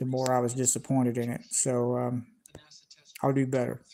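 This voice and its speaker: Moderate-paced speech in a Southern US accent. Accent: Southern US (Georgia). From US South, Georgia. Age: 40s. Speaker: YouTube space channel host. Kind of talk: live stream chat with viewers. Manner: halting, many fillers and repetitions.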